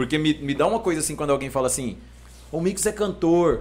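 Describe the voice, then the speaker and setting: With ordinary pitch variation, a man talks at a very fast pace in a fairly high voice. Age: 30s. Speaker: rapper. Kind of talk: casual chat.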